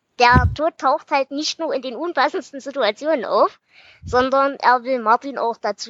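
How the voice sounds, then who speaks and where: The sound is dry and close with no echo as a high-pitched woman speaks with big swings in loudness. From Erzgebirge, Saxony. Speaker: podcast host. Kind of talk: casual interview; book summary.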